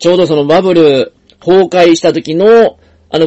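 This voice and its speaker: A man talks in a Kansai accent at a moderate pace. His pitch is high, with ordinary variation. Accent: Kansai Japanese. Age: 50s. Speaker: podcast host, investor and financial planner. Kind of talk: solo podcast monologue.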